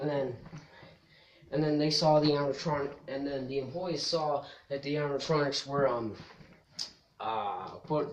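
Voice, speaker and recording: Amid noticeable background noise, a man with a fairly high pitch speaks with long, frequent pauses. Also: moderate pace. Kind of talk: casual vlog explaining video game story. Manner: stutters, hesitant.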